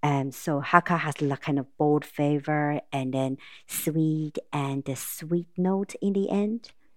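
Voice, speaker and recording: Speaking in a Taiwanese accent, a woman has a very deep, low pitch and a fairly slow pace. The sound is dry and close with no echo, on a very clean recording with a silent background. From Taiwan, Taipei. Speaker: restaurant owner and pharmaceutical consultant. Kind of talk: casual interview.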